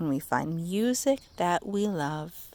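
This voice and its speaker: A woman puts on a character voice, fairly low in pitch, with lively intonation and a fairly slow pace. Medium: read story.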